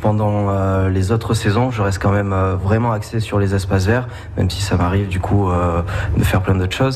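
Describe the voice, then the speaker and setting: With audible room echo and noticeable background noise, a man with a fairly low pitch talks at a fairly quick pace in a monotone, flat intonation, pausing long and often. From Béarn, southwest France. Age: young. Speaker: campsite maintenance worker. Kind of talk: radio interview. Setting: on location at a campsite.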